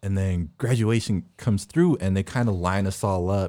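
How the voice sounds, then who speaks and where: A man with an American accent and a fairly low pitch, ordinary pitch variation, in a very clean recording with a silent background. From US West Coast. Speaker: amateur boxer. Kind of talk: casual chat.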